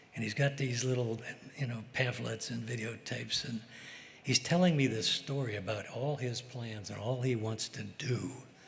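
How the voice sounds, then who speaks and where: A man with an American accent talks at a medium pitch with fairly even intonation. His voice is somewhat breathy, and room echo is audible. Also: moderate pace. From US Midwest, St. Louis. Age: 80s+. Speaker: fishing boat captain, hall of fame inductee. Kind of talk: acceptance speech. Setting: stage with audience. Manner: halting, unscripted.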